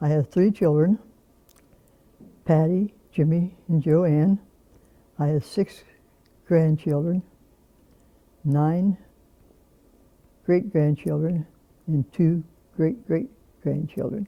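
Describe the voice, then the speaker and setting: A woman with an American accent speaks at a very slow pace with long, frequent pauses, using a fairly low pitch, ordinary pitch variation, very even loudness and a dark, mellow tone in a dry, close sound with no echo. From US Midwest, Canton and Louisville, Ohio. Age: 80s+. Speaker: retired army nurse. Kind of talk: oral history interview. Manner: halting.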